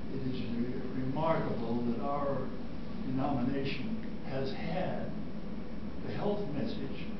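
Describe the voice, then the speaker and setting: Over loud background noise and audible room echo, a man talks at a very slow pace. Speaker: retired cardiothoracic surgeon. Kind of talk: interview answer. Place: classroom. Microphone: camera far.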